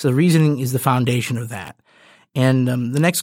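A man with a Midwestern American accent speaks at a fairly high pitch and a fairly quick pace, with fairly even intonation. The recording is very clean with a silent background and a dry, close sound with no echo. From suburban Michigan. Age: 20s. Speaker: podcast host. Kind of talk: solo monologue. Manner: halting, many fillers.

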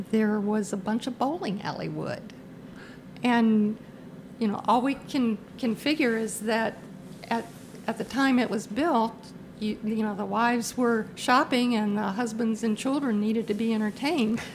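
A woman with an American accent and a normal speaking voice talks at a moderate pace, her fairly high pitch held in fairly even intonation. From Virginia. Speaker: theatre patron and sponsor. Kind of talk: casual interview.

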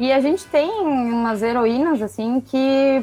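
A woman speaks in a high pitch. Noticeable background noise sits behind her. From Rio Grande do Sul, Brazil. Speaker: comics fan and watercolor artist. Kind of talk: casual chat.

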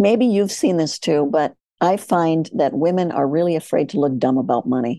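A woman with an American accent, fairly low in pitch, dark, mellow tone, moderate pace and very even loudness. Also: lively intonation. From US Midwest, farm. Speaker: surgeon and financial educator. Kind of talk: interview.

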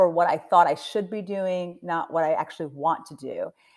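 This woman has an ordinary speaking voice at a medium pitch. She talks at a moderate pace with a General American accent. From US Mid-Atlantic (Delaware). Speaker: nonprofit CEO. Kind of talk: interview.

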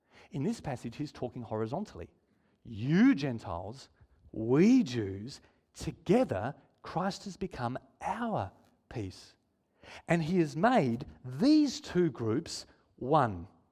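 A somewhat breathy voice with a dark, mellow tone swings very widely in pitch, moving at a very slow pace with long, frequent pauses over a very clean recording with a silent background. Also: man. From Israel. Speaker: preacher. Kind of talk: sermon. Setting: church.

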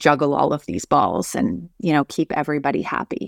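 In a very clean recording with a silent background and a dry, close sound without echo, a woman speaks fairly quickly. Her very deep, low voice carries vocal fry and lively intonation. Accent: Canadian. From northern Alberta, Canada. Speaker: civil engineer and leadership coach. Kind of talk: interview conversation.

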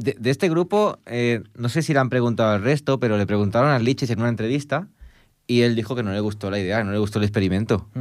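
A man rushes along at a very fast pace, his medium pitch showing ordinary variation. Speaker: music radio host. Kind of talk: casual chat. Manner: fast, talkative.

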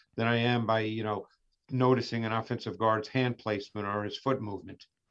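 Over a quiet background, a man talks in a plain, everyday voice at medium pitch with ordinary pitch variation. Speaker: film analyst. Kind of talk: radio interview.

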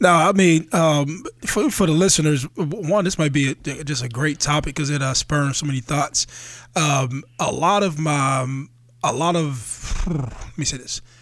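A man with an American accent talks in a plain, everyday voice at a fairly slow pace, with a fairly high pitch and ordinary pitch variation. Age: 30s. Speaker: podcast co-host. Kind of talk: casual chat.

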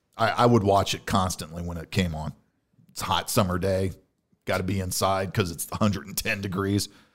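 Very deep, low pitch from a man with an American accent, fairly quick in pace with big swings in loudness, on a very clean recording with a silent background. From US Midwest (Illinois). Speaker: podcast co-host. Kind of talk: casual chat. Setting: studio.

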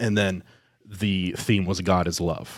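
In a very clean recording with a silent background, a man with a Midwestern US accent speaks at a very deep, low pitch with monotone, flat intonation. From Ohio, Columbus area. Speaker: diocesan media staff. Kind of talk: interview testimony.

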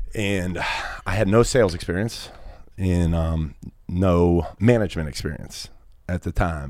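A man's very deep, low voice in an American accent, broken by long, frequent pauses. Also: ordinary pitch variation, fairly slow pace. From Pittsburgh, US. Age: 30s. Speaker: insurance business executive. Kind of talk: casual interview.

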